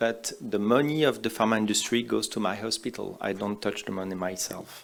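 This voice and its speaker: With a French accent, a man speaks at a moderate pace and with ordinary pitch variation. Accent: typical French. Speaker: oncologist. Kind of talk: conference talk. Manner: simple, hesitant English.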